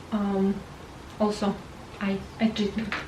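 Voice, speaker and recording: A woman with a non-native accent, noticeable background noise behind her. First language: not English. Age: 40s. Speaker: beauty vlogger. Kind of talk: product review. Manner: halting, many fillers.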